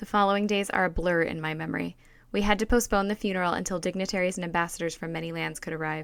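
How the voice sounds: This is a natural reading voice. Nothing else stands out beyond a natural reading voice.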